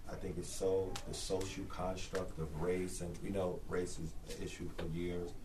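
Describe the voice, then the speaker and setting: With an American accent, a man speaks in a very deep, low voice at a fairly slow pace with hardly any pauses. His monotone, flat delivery carries audible room echo and noticeable background noise. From New York City. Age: 40s. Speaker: traveling preacher. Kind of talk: class discussion.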